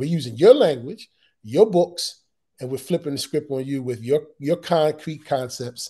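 A man's fairly high-pitched, somewhat breathy voice with a dark, mellow tone, lively intonation, big swings in loudness and a moderate pace over a quiet background. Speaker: assistant principal; panelist. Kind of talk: panel discussion. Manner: halting, repeats words. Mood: earnest, persuasive. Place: home room. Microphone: video call.

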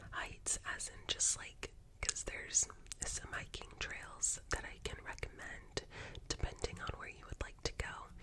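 A woman whispers at a fairly slow pace. Her voice is breathy. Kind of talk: soft-spoken roleplay chat. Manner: soft, breathy ASMR close-mic voice. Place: home room. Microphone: earbuds.

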